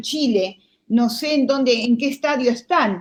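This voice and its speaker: At a very slow pace, a woman speaks. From Argentina. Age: 60s. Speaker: lawyer. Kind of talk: interview. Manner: halting, many fillers.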